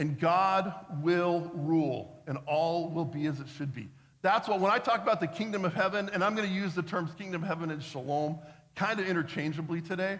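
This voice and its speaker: At a fairly quick pace, a man with a high voice speaks with ordinary pitch variation amid audible room echo. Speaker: pastor. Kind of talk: sermon. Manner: fast.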